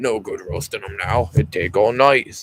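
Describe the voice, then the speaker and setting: A man puts on a character voice at medium pitch. He talks at a moderate pace. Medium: read story. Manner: rough, quarrelsome.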